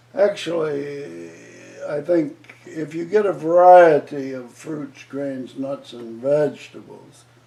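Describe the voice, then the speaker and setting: Amid noticeable background noise, a man with a fairly high pitch talks at a very slow pace, with ordinary pitch variation and big swings in loudness. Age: 80s+. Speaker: retired surgeon. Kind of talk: interview answer. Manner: hesitant, many filler words.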